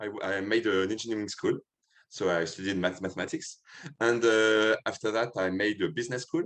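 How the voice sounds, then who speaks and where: A man speaks in a French accent with a fairly low voice. His pitch varies in an ordinary way against a quiet background. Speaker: filmmaker. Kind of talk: interview. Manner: halting.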